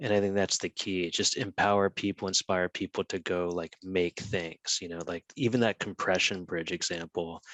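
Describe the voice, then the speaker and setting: A man with an American accent speaks at a very deep, low pitch. His pace is moderate, with hardly any pauses. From United States. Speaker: conference panelist. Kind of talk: panel discussion.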